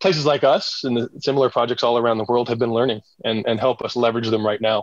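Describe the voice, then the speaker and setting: Using a plain, everyday voice, a man at medium pitch talks at a fairly quick pace with fairly even intonation. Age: 40s. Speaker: regenerative farming entrepreneur. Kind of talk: casual interview.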